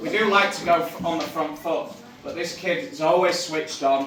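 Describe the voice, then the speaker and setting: The speaker has a Yorkshire accent and a moderate pace with ordinary pitch variation. Room echo is audible, and background noise is noticeable. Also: man. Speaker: youth football coach. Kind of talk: awards presentation speech. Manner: loud.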